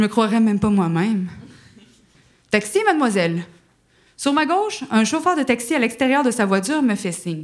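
A woman with a Quebec accent speaks at a moderate pace in a fairly high pitch, her voice swinging very widely in pitch, with long, frequent pauses. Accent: Québécois. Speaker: actress and screenwriter. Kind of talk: storytelling. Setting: stage with audience.

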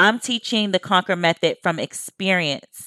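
In a very clean recording with a silent background and a dry, close sound with no echo, a woman talks at a fairly quick pace with an animated tone, bright and sharp, at a medium pitch with ordinary pitch variation. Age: 30s. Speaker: productivity coach and podcast host. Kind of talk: solo podcast monologue.

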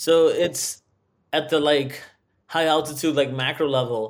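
A man speaks in an unremarkable speaking voice. His pitch is fairly high, with ordinary pitch variation. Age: 30s. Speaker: software designer, former divorce client. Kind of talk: interview testimony.

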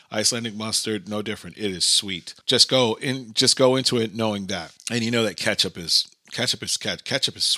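A man's bright, sharp, medium-pitched voice with an American accent, a fairly quick pace, ordinary pitch variation, and hardly any pauses. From US, Brooklyn, New York. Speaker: podcast host. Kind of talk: casual monologue. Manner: animated.

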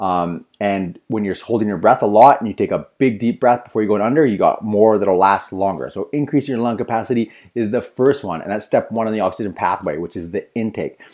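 On a very clean recording with a silent background, a man with a fairly low pitch and an unremarkable speaking voice talks at a fairly quick pace with hardly any pauses and ordinary pitch variation. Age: 30s. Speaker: surf training podcast host. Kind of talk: solo podcast explainer. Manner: casual, with frequent fillers.

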